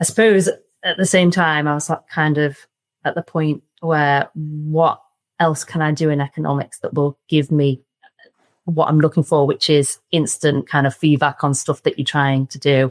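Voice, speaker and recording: A woman with a Liverpool accent speaks in a very deep, low pitch and fairly even intonation. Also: moderate pace, dry, close sound with no echo. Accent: Liverpool (Scouse). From Liverpool, England. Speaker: surveying firm director. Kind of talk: podcast interview. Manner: casual, many fillers.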